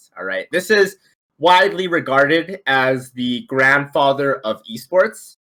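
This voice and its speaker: On a very clean recording with a silent background, a man with a fairly high pitch and a bright, sharp tone speaks at a very slow pace with very wide pitch swings. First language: not English. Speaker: esports association co-founder, trivia host. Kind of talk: live-streamed trivia game show. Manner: animated.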